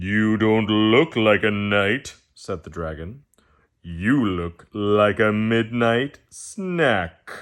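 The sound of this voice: Quiet surroundings around an unforced reading voice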